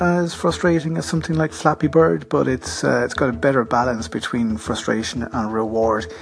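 Over background music, a man with an Irish accent talks at a moderate pace with very wide pitch swings and hardly any pauses. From Ireland. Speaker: podcaster. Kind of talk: casual app recommendation. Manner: casual, conversational with fillers.

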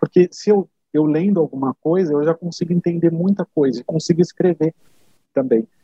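A man speaks at a fairly quick pace in an unremarkable speaking voice. His pitch is fairly high with ordinary variation. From Brazil. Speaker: HR software consultant. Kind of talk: interview conversation.

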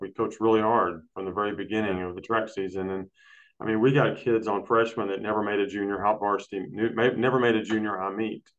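Speaking at a fairly quick pace in a Texan accent, a man keeps a fairly low pitch with monotone, flat intonation. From Texas, Brownwood. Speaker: high school boys track coach. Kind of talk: casual chat.

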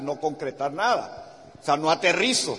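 Against noticeable background noise, a man speaks fairly slowly in a fairly high pitch. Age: 60s. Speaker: business motivational speaker. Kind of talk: motivational talk. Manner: animated.

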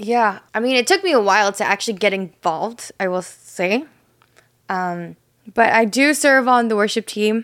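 A woman's fairly high voice, a plain, everyday voice, with lively intonation at a moderate pace. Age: 20s. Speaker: church worship leader and podcast co-host. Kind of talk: casual chat. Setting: studio, seated on a couch.

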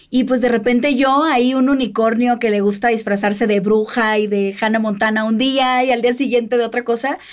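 A woman talks at a moderate pace with a fairly high pitch and very even loudness, hardly pausing. Noticeable background noise runs underneath. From Mexico, Sinaloa. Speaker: podcast host. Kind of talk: interview. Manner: animated.

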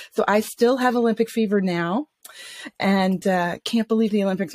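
An unremarkable speaking voice with an American accent moves at a moderate pace with ordinary pitch variation, the sound dry and close with no echo. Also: woman. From US South, Atlanta, Georgia. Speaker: coach and vocational psychologist. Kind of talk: interview.

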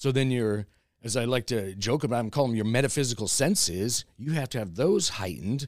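A man's normal speaking voice with an American accent, medium in pitch, fairly quick in pace and lively in intonation, on a very clean recording with a silent background. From US West Coast (Los Angeles, California). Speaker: crystal shop owner and energy healer. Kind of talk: casual interview chat. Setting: in his crystal shop.

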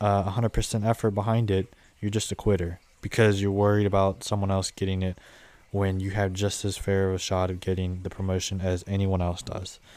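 Speaking in a monotone, flat intonation, a man with an American accent keeps a moderate pace. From Southwest Ohio. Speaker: podcast host and landscaping business owner. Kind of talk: solo podcast monologue, casual. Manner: monotone, filler words, informal; halting, many ums.

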